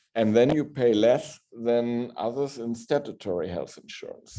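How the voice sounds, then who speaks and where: A man with a German accent, a dark, mellow tone and ordinary pitch variation. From northern Germany. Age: middle-aged. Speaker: hospital pharmacist. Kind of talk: Q&A after a lecture.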